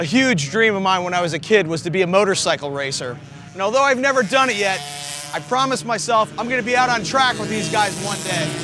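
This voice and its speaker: A man with a raised, projected voice talks very fast at a high pitch with lively intonation, amid noticeable background noise and audible room echo. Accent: American. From New Jersey. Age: 50s. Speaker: travel show host and musician. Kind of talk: casual interview and on-camera talk.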